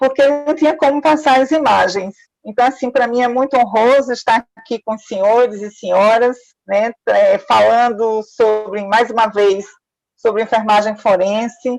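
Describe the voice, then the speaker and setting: In a Pernambuco accent, a woman with a fairly high pitch talks at a fairly slow pace. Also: ordinary pitch variation. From Pernambuco, Brazil. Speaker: forensic nurse and professor. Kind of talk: lecture.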